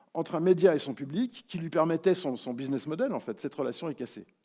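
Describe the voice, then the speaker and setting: A man with a dark, mellow tone is heard in a very clean recording with a silent background. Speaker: keynote speaker, media academic. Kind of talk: keynote lecture. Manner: hesitant, many filler sounds.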